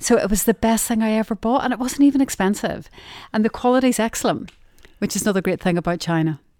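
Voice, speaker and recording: A woman with a Derry accent talks at a very fast pace, her pitch fairly high with ordinary variation. Her tone is warm, dark and mellow, and the sound is dry and close with no echo. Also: very clean recording, silent background. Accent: Northern Irish (Derry). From Northern Ireland. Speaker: retail sourcing office manager. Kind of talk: casual interview chat. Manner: warm, friendly, humorous.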